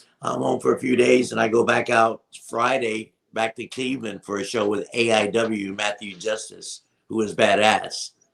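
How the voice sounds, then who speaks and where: A man's voice with vocal fry and fairly even intonation. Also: medium pitch for a man, moderate pace. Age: 60s. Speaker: wrestling manager. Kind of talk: casual interview.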